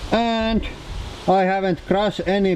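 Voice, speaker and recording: Speaking at a very slow pace, a man talks with a Finnish accent. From Finland. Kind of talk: casual talk to camera.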